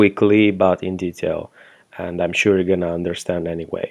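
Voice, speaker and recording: A man with a non-native accent speaks in a very deep, low voice. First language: not English. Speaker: web design agency owner reviewing software. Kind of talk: product review tutorial. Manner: hesitant, many fillers.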